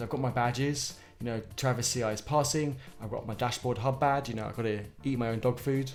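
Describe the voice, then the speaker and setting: With music in the background and audible room echo, a man speaks with a British accent at a moderate pace and with fairly even intonation. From Britain. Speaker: software developer live-streaming open source coding. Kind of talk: casual live-stream talk to chat. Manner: hesitant, many fillers and repetitions.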